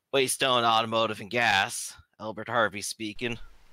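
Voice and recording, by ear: In a put-on character voice, a man sounds raspy and gruff at a medium pitch, keeping a moderate pace.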